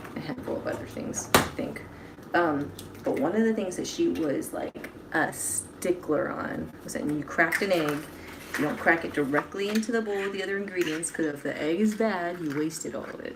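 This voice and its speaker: Background noise is noticeable, and the room echo is audible. A woman with a fairly low pitch speaks at a moderate pace. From Hawaii. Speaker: singer-songwriter and livestreamer. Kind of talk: casual livestream chat while cooking. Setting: livestream at home kitchen.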